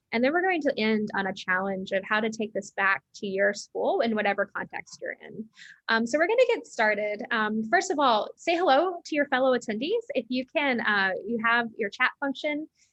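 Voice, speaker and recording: With an American accent, a woman in an unremarkable speaking voice talks at a fairly quick pace, her pitch fairly high and her intonation lively. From United States. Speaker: education company CEO, former science teacher. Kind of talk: webinar hosting. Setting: online webinar.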